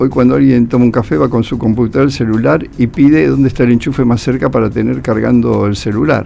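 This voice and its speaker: Over music in the background, a man speaks very fast at a medium pitch, with lively intonation and hardly any pauses. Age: 70s. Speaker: journalist and writer. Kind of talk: radio interview. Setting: radio studio.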